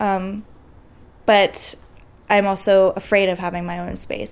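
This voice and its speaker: With an American accent, a woman speaks in an ordinary speaking voice at medium pitch with fairly even intonation. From Santa Rosa, California. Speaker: wildfire survivor. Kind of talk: personal testimony.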